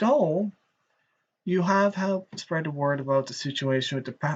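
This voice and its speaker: In a rural Irish accent, a man speaks with ordinary pitch variation and a somewhat breathy voice. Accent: Irish, rural bogger tone. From Ireland. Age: 30s. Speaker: streamer. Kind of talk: live stream commentary. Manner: animated.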